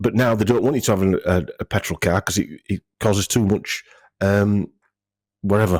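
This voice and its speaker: A man with a northern English accent, fairly low pitch and ordinary pitch variation, at a fairly quick pace, in a dry, close sound with no echo, on a very clean recording with a silent background. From northern England. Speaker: health clinic owner. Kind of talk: casual interview chat. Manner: halting, many fillers and restarts.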